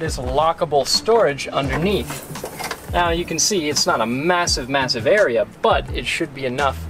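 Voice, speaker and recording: With clear music in the background, the speaker talks at a moderate pace. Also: man. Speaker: car reviewer. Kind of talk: product demo commentary. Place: street.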